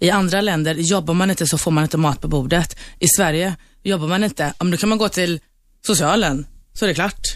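In an ordinary speaking voice, a woman talks at a fairly quick pace with fairly low pitch, ordinary pitch variation and very even loudness. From Sweden, Turkish family. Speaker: bar owner. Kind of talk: studio debate. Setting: radio studio.

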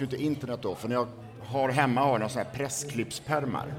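Music plays in the background as a man speaks at a fairly quick pace. His medium pitch stays fairly even in intonation. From Sweden, Borås. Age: 40s. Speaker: author and former party strategist. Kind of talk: interview conversation.

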